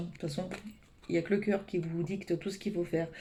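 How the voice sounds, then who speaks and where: Her voice has a dark, mellow tone. The woman sounds somewhat breathy. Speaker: tarot card reader. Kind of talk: weekly energy reading. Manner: fast; hesitant, many fillers.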